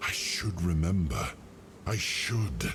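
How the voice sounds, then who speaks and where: A man talks in a put-on character voice at a very slow pace. Background noise is clear. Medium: game stream. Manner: slow, reflective.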